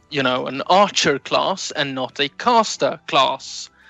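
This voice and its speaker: A man's fairly high-pitched voice over music in the background. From Sweden. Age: 20s. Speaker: new podcast co-host. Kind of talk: casual interview chat. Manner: halting, many fillers.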